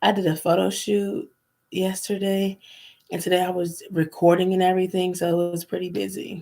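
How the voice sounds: A woman talks at a moderate pace with a fairly low pitch and vocal fry. Her tone is dark and mellow, with little pitch movement.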